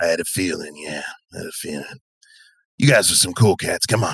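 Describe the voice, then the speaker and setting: Raspy and fairly quick, a man uses a put-on character voice. His loudness swings widely. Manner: casual, friendly.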